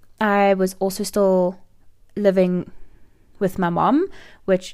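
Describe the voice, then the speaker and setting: A woman with a South African accent speaks at a fairly slow pace and medium pitch on a very clean recording with a silent background. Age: 20s. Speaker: life coach and podcast host. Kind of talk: personal story monologue.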